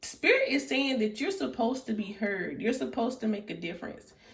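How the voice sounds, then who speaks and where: A soft-spoken voice uses lively intonation at a moderate pace. Noticeable background noise and audible room echo come through. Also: woman. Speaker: tarot reader. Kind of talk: tarot reading. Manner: casual.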